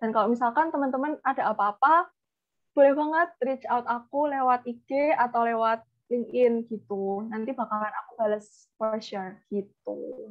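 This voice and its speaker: A woman speaks with a strong Javanese accent at a high pitch. Her pace is moderate, and her pitch varies in an ordinary way. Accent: Javanese, thick (medok). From Indonesia, Java. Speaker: guest speaker on careers. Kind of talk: webinar closing remarks. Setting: video call. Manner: casual, mixes in English.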